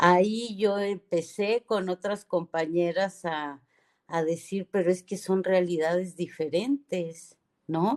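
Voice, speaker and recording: Very slow delivery with ordinary pitch variation and a dry, close sound free of echo. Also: woman, medium pitch for a woman. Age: 60s. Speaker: feminist radio host. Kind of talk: radio talk show discussion.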